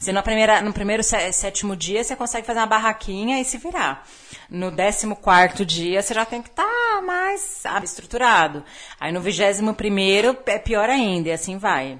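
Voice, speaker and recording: A woman with an ordinary speaking voice, fairly high-pitched, with lively intonation at a moderate pace. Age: 30s. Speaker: podcast guest. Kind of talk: casual chat.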